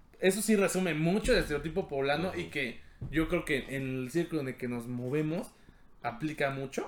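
With a Mexican accent, a man talks at a fairly quick pace in a fairly high pitch, his intonation lively. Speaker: podcast host. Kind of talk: casual chat.

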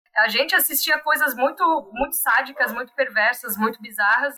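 An unremarkable speaking voice goes at a moderate pace with ordinary pitch variation. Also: woman. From Brazil, Santa Catarina (Blumenau). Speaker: preschool teacher. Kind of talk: podcast interview.

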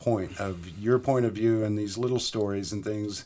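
A man's fairly low-pitched voice, an ordinary speaking voice. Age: 50s. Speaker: tattoo artist. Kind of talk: casual chat.

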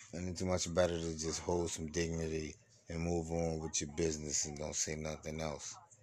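A man speaks with a very deep, low pitch in a monotone, flat delivery. His pace is moderate, and room echo is audible. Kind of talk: motivational monologue. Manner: slurring.

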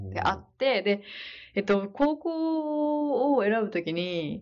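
A woman speaks with very wide pitch swings. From Hokkaido, Sapporo. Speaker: nurse. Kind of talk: casual interview.

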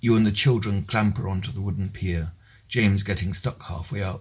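A man talks at a fairly quick pace with a somewhat breathy, fairly low voice and ordinary pitch variation. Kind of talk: reading own written piece aloud.

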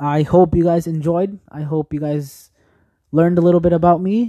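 In a dry, close sound with no echo, the speaker uses a dark, mellow tone, fairly even intonation and a moderate pace. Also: man. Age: young. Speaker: podcast host. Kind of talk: casual monologue. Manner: hesitant, many fillers.

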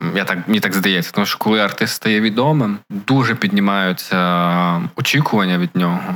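In a normal speaking voice, a man speaks at a moderate pace and a fairly low pitch, with ordinary pitch variation and very even loudness. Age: 20s. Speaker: podcast co-host. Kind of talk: casual chat.

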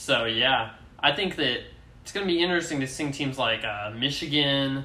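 Over noticeable background noise, a man talks at a moderate pace and medium pitch with ordinary pitch variation. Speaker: college sports podcast host. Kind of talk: casual banter.

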